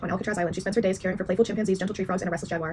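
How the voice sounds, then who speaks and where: With fairly even intonation and a medium pitch, a woman talks amid noticeable background noise. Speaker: book vlogger. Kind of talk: casual vlog talk. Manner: quiet, low energy.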